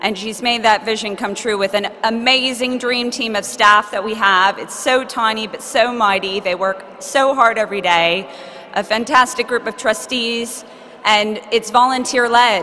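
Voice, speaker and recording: Someone with an American accent speaks at a moderate pace with fairly even intonation over noticeable background noise. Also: woman, fairly high pitch for a woman. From United States. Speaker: charity representative accepting award. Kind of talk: acceptance speech. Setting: stage with audience at awards ceremony.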